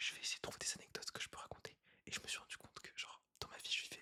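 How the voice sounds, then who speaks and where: Someone whispers at a very fast pace. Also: man. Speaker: YouTuber doing ASMR. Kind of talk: ASMR whispering monologue. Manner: whispering; casual, rambling improvisation.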